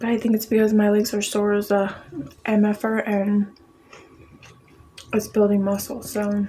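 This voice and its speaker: Over noticeable background noise, a woman with a medium pitch speaks in a monotone, flat intonation, taking long, frequent pauses. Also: moderate pace. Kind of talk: ASMR eating video with casual chat. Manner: whispered.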